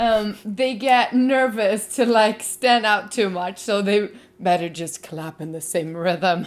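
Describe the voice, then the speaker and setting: A woman's medium-pitched voice with a Swedish accent, very slow and with big swings in loudness, in a very clean recording with a silent background. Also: ordinary pitch variation. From Sweden. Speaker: video blogger. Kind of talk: casual chat.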